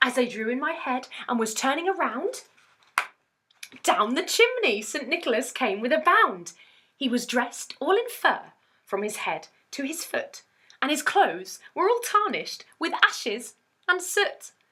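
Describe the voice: A woman's high, bright, sharp voice with a slightly husky edge, big pitch swings and a fairly slow pace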